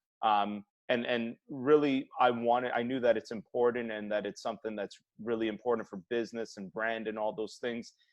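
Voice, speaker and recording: A man speaks in a normal speaking voice at a medium pitch, with fairly even intonation and a moderate pace. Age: 30s. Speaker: health practitioner and podcast host. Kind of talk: casual interview chat.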